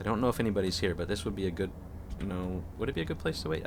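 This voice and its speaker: A man with a very deep, low voice talks at a very fast pace in fairly even intonation, with audible room echo around him. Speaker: video game streamer. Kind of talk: live game stream commentary. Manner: halting, repeats words.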